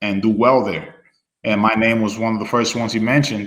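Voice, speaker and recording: A man with a slight non-native accent at a fairly quick pace, with audible room echo. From Dominican Republic, moved to New Hampshire as a child. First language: Spanish. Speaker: former student athlete. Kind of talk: casual interview chat. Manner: relaxed, many fillers.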